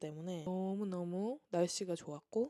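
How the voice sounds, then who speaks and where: Very slowly, a woman speaks at a medium pitch with a dark, mellow tone and fairly even intonation, in a dry, close sound with no echo. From South Korea. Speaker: vlogger. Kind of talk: Q&A vlog monologue. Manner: casual, chatty.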